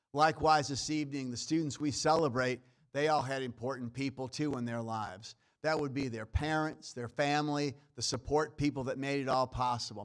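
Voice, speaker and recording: A man with a Brooklyn accent talks at a fairly quick pace and medium pitch, with fairly even intonation. The recording is very clean, with a silent background. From New York, Brooklyn. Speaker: college dean. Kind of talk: ceremony speech.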